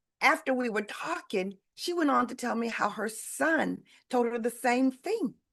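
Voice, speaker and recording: Loud speech with vocal fry at a fairly slow pace over a quiet background. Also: woman. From Detroit, Michigan. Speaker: sales leadership coach. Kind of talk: live webinar coaching talk. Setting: livestream video call. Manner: energetic.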